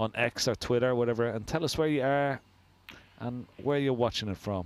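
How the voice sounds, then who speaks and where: A man talks with an Irish accent at a moderate pace. His pitch is medium, with ordinary pitch variation. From Ireland. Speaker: snooker commentator. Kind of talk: live commentary. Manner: casual, chatty.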